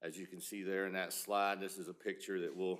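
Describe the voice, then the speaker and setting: A man talks with a Southern US accent. His pace is fairly quick. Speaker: surgical resident. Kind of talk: lecture. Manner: loud.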